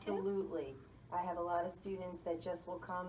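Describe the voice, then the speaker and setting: A woman with a New York accent speaks in a fairly low pitch. Noticeable background noise and audible room echo surround her voice. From US Northeast, New York City. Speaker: school guidance counselor. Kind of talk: interview.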